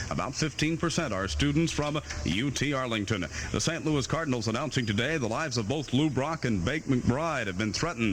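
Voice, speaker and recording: A man at medium pitch, very fast and with lively intonation, against noticeable background noise. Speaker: radio news anchor. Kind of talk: radio newscast. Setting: AM radio studio.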